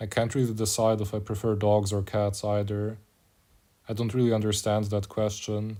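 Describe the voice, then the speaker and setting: Speaking with a German accent, a man uses a fairly low pitch, a dark, mellow tone and flat, monotone intonation at a moderate pace. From Germany. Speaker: mobile game streamer. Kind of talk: casual chat. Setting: live stream.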